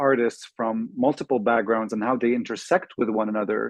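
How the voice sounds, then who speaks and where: Speaking at a very fast pace, a man keeps a medium pitch. His intonation is fairly even. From Lebanon. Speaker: inclusion strategist and professor. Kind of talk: webinar self-introduction.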